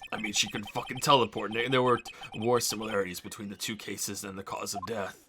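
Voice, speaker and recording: Putting on a raspy character voice at medium pitch, a man rattles along at a very fast pace. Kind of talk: comic overacting. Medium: game stream. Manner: brash, evasive.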